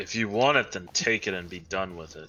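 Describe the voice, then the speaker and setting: This man uses a put-on character voice pitched very deep and low. He moves at a fairly quick pace. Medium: actual play. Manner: curt, commanding.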